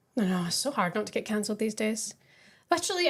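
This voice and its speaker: With a Scottish accent, a woman talks very fast at a fairly high pitch. Her pitch swings very widely. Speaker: professional footballer. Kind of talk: casual podcast chat.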